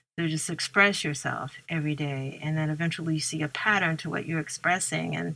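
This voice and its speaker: Hardly pausing, a woman with an American accent talks at a fairly quick pace in a very deep, low pitch, with a bright, sharp tone and fairly even intonation. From US Midwest, St. Louis. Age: 60s. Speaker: author and poet. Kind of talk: interview conversation. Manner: reflective, with many fillers.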